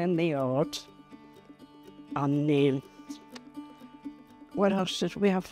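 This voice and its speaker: Speaking at a fairly slow pace with long, frequent pauses, a woman has a fairly low pitch and ordinary pitch variation, in a dry sound with no echo and faint music in the background. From Liverpool, England. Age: 80s+. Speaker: long-time resident of social housing, pensioner. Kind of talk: interview answer, chatty personal reminiscence. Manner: chatty, warm, animated. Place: home room. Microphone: lapel.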